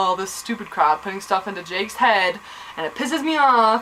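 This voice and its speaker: Noticeable noise in the background, a moderate tempo and lively intonation. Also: woman. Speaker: vlogger reviewing a TV episode. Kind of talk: casual recap vlog. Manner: animated.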